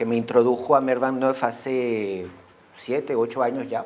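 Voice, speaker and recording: A man speaks fairly slowly while noticeable background noise sits behind the voice. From Venezuela. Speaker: association member, speaker. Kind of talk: school talk.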